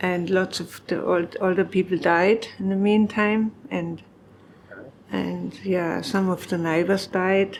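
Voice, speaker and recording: A woman speaks with a German accent at a very slow pace. Her intonation is monotone and flat. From Germany. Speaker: farmer. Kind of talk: oral history interview.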